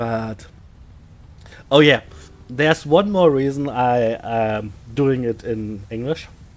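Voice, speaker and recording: A man with a slight German accent speaks at a very slow pace with long, frequent pauses, his medium pitch showing ordinary variation. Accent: slight German accent, own remark. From Germany. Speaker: game streamer. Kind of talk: live stream tutorial. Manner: halting, many fillers.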